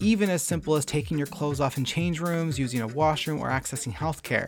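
A man with a Canadian accent, fairly high-pitched and animated, talking at a very fast pace over background music. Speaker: podcast host. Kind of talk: podcast intro and casual interview. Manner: casual, animated, self-deprecating.

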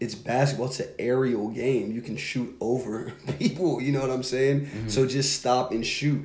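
A somewhat breathy man at medium pitch talks at a moderate pace with hardly any pauses and fairly even intonation, amid audible room echo. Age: 30s. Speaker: basketball podcast co-host. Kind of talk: casual chat. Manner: casual, filler-heavy.

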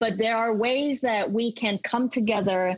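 A woman uses a normal speaking voice at a fairly high pitch with ordinary pitch variation. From Kansas, US. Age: 20s. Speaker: local political candidate. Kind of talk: interview.

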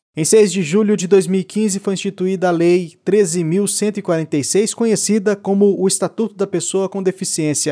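With a dark, mellow tone and high pitch, a man speaks at a fairly slow pace with fairly even intonation and hardly any pauses, in a very clean recording with a silent background and a dry, close sound with no echo. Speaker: podcast host. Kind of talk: scripted narration. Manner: formal.

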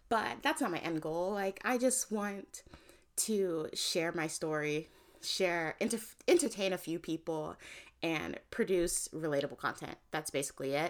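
In a very clean recording with a silent background, a woman with an American accent and a fairly low pitch speaks fairly slowly with lively intonation in an ordinary speaking voice. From New York City, Manhattan. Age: 20s. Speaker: podcast host. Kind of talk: casual solo chat. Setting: at home.

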